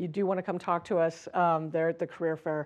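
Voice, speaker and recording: The speech comes at a very fast pace in a monotone, flat intonation against a quiet background. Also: woman. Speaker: business executive. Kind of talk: conference talk. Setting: stage with audience.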